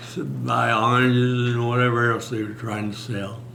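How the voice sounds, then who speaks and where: Against noticeable background noise and audible room echo, a man speaks at a medium pitch and moderate pace in a monotone, flat way. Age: 90s. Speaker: war veteran. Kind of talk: oral history interview. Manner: halting.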